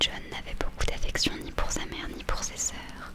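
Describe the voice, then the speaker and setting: Someone whispers over noticeable background noise. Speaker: book reader / ASMR creator. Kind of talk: ASMR whispered book reading. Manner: soft-spoken, slow.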